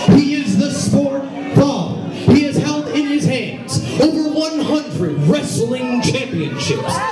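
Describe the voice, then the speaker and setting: A man talks at a very slow pace. Noticeable background noise runs underneath. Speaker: ring announcer. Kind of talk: wrestling ring announcement. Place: hall.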